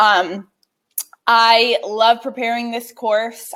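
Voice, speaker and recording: This woman speaks with a fairly high pitch. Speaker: writing teacher. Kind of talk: online class / lecture. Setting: live video stream. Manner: animated.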